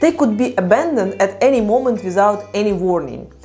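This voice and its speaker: Noticeable background noise behind a woman with a Ukrainian accent, fairly high pitch, lively intonation and a moderate pace. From Ukraine. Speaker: psychology content creator. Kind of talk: personal storytelling vlog.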